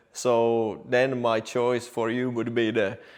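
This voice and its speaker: The speaker has a non-native accent. The pace is very slow. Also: man. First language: Finnish or Swedish. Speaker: car technician. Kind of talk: explainer video.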